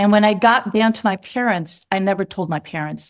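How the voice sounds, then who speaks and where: In a very clean recording with a silent background, an unremarkable speaking voice shows ordinary pitch variation. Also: woman. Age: 60s. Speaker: mountaineer. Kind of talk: interview storytelling.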